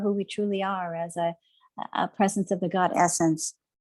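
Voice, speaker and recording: Recorded very cleanly against a silent background, a woman speaks at a fairly quick pace at a medium pitch. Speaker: reverend and spiritual author. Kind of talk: interview. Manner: fast.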